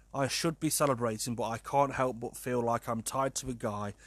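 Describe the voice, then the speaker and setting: With a British accent and a medium pitch, a man talks at a moderate pace in a very clean recording with a silent background. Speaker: podcast host. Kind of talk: casual solo podcast monologue.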